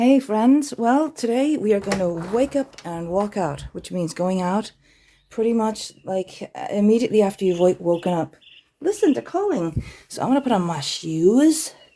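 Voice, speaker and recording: A woman speaks in an Irish accent at a moderate pace, her pitch in the medium range. Her tone is dark and mellow, and her pitch swings very widely. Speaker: wellness challenge host. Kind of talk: live stream vlog. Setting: outdoors.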